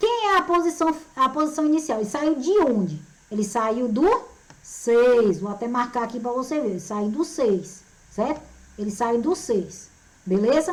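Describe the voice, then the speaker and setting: With very wide pitch swings and an animated tone, a woman speaks at a high pitch. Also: fairly slow pace. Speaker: physics teacher. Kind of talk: lecture.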